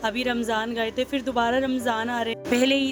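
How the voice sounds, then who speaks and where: Over music in the background, a woman speaks at a high pitch. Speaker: vlogger. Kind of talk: vlog voice-over. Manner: slow.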